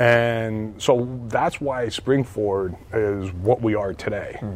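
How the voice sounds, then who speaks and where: A man with an American accent talks at a medium pitch with ordinary variation, over noticeable background noise. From Pennsylvania (Hazleton). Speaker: school board member. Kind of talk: interview. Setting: school fitness center.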